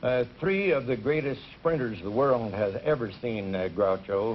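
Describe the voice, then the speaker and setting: This man has a plain, everyday voice. He talks at a fairly slow pace with ordinary pitch variation. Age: 50s. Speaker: college track coach. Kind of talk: game show interview.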